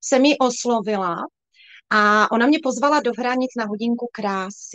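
A woman with a plain, everyday voice, fairly high pitch, ordinary pitch variation and a moderate pace. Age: 40s. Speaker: sales director in direct-selling cosmetics, former nurse. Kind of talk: livestream interview.

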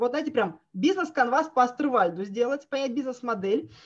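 A woman speaks with a high pitch. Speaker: project manager and trainer. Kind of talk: webinar presentation. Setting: online webinar with screen sharing. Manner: hesitant, with filler sounds.

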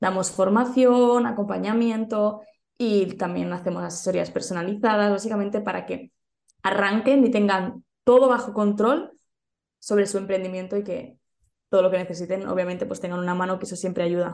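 A woman speaks at a moderate pace with a Spanish accent, her medium pitch showing ordinary variation. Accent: Peninsular Spanish. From Spain. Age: young. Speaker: entrepreneurship and social media coach. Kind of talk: interview.

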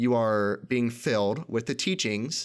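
On a very clean recording with a silent background, a man with an American accent speaks at medium pitch. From United States. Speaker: podcast host. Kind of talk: personal monologue.

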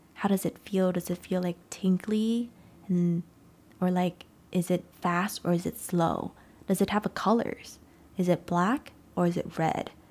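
A woman with a Vietnamese accent at a medium pitch, fairly slow pace and fairly even intonation, with long, frequent pauses in a very clean recording against a silent background. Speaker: podcast host and life coach. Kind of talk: solo motivational talk.

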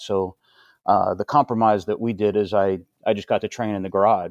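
A man with an American accent and a plain, everyday voice, fairly low in pitch, at a moderate pace with fairly even intonation, the sound dry and close with no echo over a quiet background. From northeastern Pennsylvania (Hazleton). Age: 50s. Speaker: army veteran and CrossFit coach. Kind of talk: casual chat.

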